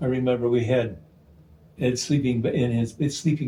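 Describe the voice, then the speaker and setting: A man talks at a medium pitch with fairly even intonation. His pace is moderate, and there is noticeable background noise. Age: 80s+. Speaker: oral historian and radio producer. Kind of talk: interview storytelling. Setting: at home.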